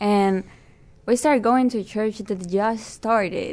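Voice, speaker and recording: With a Spanish accent, a woman of medium pitch speaks at a moderate pace in a dark, mellow tone and fairly even intonation against a quiet background. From Peru. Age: 20s. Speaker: Bible college student. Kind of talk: casual interview.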